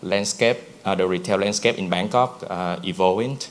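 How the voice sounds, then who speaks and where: A fairly low-pitched man with a Vietnamese accent over noticeable background noise. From Vietnam (Nha Trang). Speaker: brand founder. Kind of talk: conference presentation. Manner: halting, many fillers.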